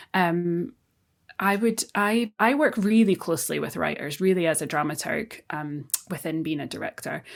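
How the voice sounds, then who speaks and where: On a very clean recording with a silent background, a speaker with a Scottish accent talks at a moderate pace with lively intonation. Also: woman, fairly low pitch for a woman. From Scotland. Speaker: theatre director. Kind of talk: interview conversation. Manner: halting, many fillers and restarts.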